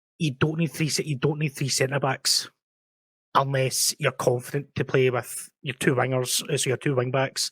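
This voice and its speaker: A man with a Scottish accent talks at a moderate pace and medium pitch, his intonation monotone and flat. The recording is very clean with a silent background, dry and close with no echo. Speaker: football podcast host, tactics analyst. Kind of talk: tactical breakdown segment; casual panel discussion. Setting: live-streamed podcast.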